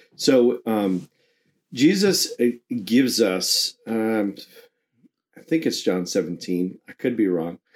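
Using lively intonation, a man talks at a very slow pace with long, frequent pauses. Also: medium pitch for a man. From New York. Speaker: ministry coach. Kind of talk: casual chat. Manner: blunt.

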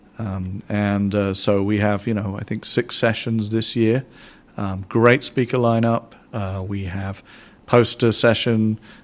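Here a man with a southern English accent talks at a fairly slow pace. His pitch is fairly low and his intonation monotone and flat. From southern England. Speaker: scientific institute director. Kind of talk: interview. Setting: in-person recording in a room.

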